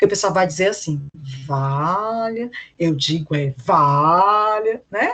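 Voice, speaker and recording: A woman talks with lively intonation. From Ceará, Brazil. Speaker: teacher. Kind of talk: online lecture. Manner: frequent filler tags like né and tá.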